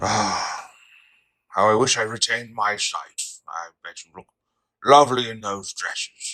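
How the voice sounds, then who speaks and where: A man puts on a character voice at a medium pitch, leaving long, frequent pauses. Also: moderate pace. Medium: audio drama. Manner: polite, warm.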